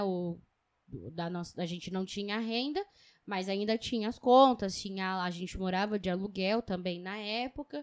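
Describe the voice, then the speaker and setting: In a very clean recording with a silent background and a dry, close sound with no echo, a woman speaks at a fairly slow pace. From São Paulo, East Zone. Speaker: podcast co-host. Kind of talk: casual chat.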